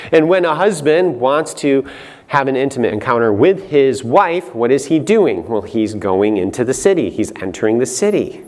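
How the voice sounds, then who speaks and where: The voice sounds animated, with very wide pitch swings at a moderate pace. Room echo is audible. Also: man, fairly high pitch for a man. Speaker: Bible teacher, conference speaker. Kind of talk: lecture.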